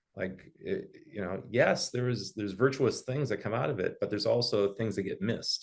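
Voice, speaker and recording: A man talks at a fairly quick pace with hardly any pauses. His intonation is lively and his voice somewhat breathy. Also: medium pitch for a man. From eastern Canada. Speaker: financial planner and webinar host. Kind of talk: webinar discussion. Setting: live webinar.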